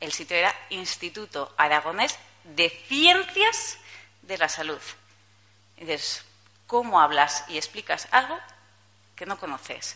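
A woman speaks at a fairly low pitch and a fairly slow pace, with long, frequent pauses. Her loudness swings widely over noticeable background noise. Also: lively intonation. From Spain, Zaragoza (Aragon). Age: 30s. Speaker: journalist giving a conference talk. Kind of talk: conference talk. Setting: stage with audience. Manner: casual, with hesitations.

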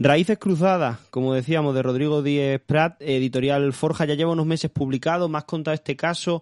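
Here is an unremarkable speaking voice at a moderate pace. The sound is dry and close with no echo, over a quiet background. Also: man. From Málaga, southern Spain. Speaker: podcast host. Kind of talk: interview.

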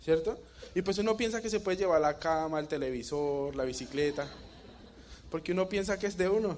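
At a fairly quick pace broken by long, frequent pauses, a man with a high pitch talks in an animated tone with ordinary pitch variation. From Colombia, Bogotá. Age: 20s. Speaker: network marketing distributor. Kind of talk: motivational talk.

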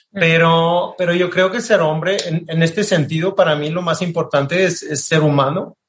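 A moderate pace with hardly any pauses and fairly even intonation. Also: man, high pitch for a man. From France, Marseille. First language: French (speaking Spanish). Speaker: diplomat. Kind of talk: interview. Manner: halting, many repetitions.

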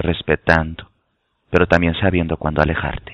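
At a very deep, low pitch, a man talks fairly slowly with monotone, flat intonation. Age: 30s. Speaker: tarot and spirituality teacher. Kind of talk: casual chat. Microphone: connection dropping in and out.

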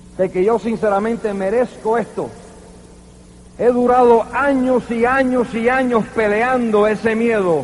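Against noticeable background noise, a man talks at an extremely high pitch, with very even loudness and fairly even intonation. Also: fairly slow pace. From New York, Cuban-American family. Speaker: network marketing leader. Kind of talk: motivational speech. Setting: convention stage with audience.

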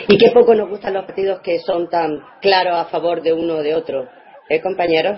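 A woman speaks at a moderate pace in a fairly low voice with ordinary pitch variation. Noticeable background noise is present. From Andalusia, Spain. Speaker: radio co-host providing stats and social media. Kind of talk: casual radio chat.

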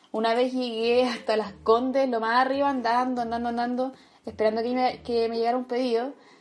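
Using a Chilean accent, a woman speaks with a fairly high pitch. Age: 20s. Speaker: university student, food delivery worker. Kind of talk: interview testimony.

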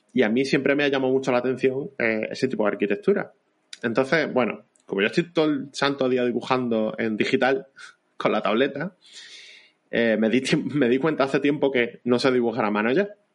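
This man has an unremarkable speaking voice, with medium pitch, ordinary pitch variation and a moderate pace. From Andalusia, Vélez-Málaga. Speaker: illustrator and history popularizer. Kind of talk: casual interview.

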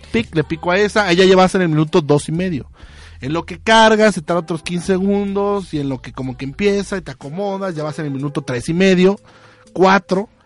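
An animated man speaks at a fairly quick pace and high pitch. His loudness swings widely, with ordinary pitch variation. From Mexico, Tabasco. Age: 30s. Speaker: radio show host. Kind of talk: casual chat.

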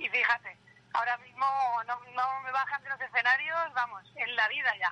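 A raised, projected voice with ordinary pitch variation carries at a moderate pace, recorded with a dry, close sound and no echo. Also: woman. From Albacete, Spain. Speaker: band singer. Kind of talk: interview.

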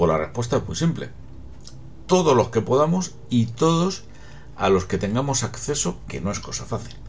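A man talks at a moderate pace, his pitch swinging very widely. Noticeable noise sits in the background. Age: 50s. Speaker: podcaster on psychology and genealogy. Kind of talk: solo talk, explanatory monologue.

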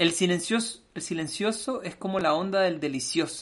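A man with a Chilean accent, at a fairly quick pace, with ordinary pitch variation. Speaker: podcast host. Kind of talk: casual chat.

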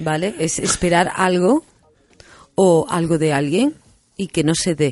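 A woman speaks fairly slowly in a normal speaking voice, pitched fairly low. Her pitch varies in an ordinary way. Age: 40s. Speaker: hypnotherapist and radio host. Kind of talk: radio talk show conversation.

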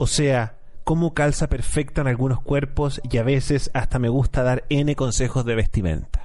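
In an ordinary speaking voice, a man talks at a moderate pace and medium pitch, with fairly even intonation and very even loudness. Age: 30s. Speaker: podcast host. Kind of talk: casual chat.

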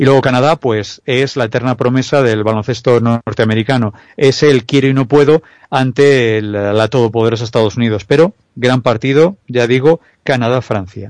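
A man speaks at a medium pitch with ordinary pitch variation. His pace is moderate, and the sound is dry and close with no echo. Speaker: basketball analyst. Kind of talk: sports analysis chat. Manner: halting.

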